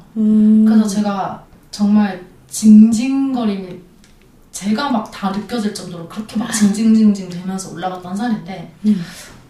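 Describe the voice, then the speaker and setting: A woman talks at a fairly slow pace with fairly even intonation and big swings in loudness, and audible room echo surrounds her. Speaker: hiking club member. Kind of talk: casual chat.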